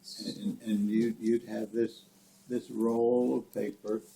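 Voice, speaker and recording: A man talking at a very slow pace amid noticeable background noise. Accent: American. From rural Nebraska. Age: 80s+. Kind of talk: family storytelling, reminiscing.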